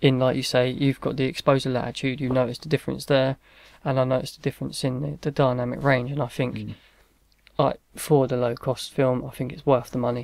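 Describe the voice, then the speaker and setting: The delivery is fairly quick, with monotone, flat intonation. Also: man, quiet background, dry sound with no echo. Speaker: film photography channel co-host. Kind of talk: casual review discussion. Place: home room.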